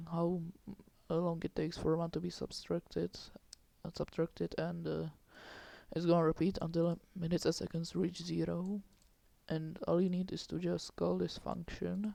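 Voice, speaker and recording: With a non-native accent, a man talks with long, frequent pauses. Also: moderate pace. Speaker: game development tutorial maker. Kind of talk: screen-recorded coding tutorial. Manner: hesitant, many filler words.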